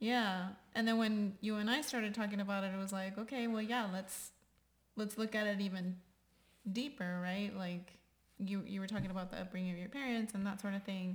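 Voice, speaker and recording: A woman with a Texan accent speaks at a fairly quick pace, somewhat breathy, at a medium pitch with fairly even intonation. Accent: Texan American English. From Texas, San Antonio. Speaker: podcast host. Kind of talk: casual chat.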